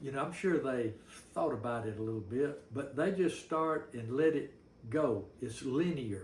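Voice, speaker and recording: A man with a fairly high pitch and ordinary pitch variation sounds somewhat breathy. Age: 70s. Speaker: novelist. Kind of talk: casual talk to camera. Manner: folksy, rambling.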